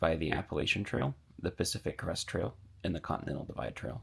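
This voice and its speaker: Talking at a very fast pace, a man shows lively intonation and vocal fry. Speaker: long-distance hiker vlogger. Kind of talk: casual vlog narration. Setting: outdoors on hiking trail. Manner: whispering; casual, filler-heavy.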